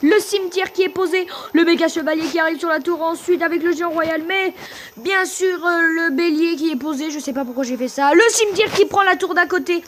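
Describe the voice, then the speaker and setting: Over noticeable background noise, a woman with an extremely high pitch speaks fairly quickly with ordinary pitch variation. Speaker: gaming YouTuber. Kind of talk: live gameplay commentary. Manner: fast; animated.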